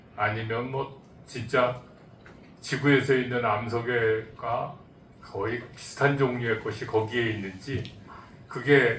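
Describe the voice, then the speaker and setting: Very slow, monotone and flat speech from a man at medium pitch, with long, frequent pauses and audible room echo. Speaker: audience member asking question. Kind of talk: conference Q&A question. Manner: halting.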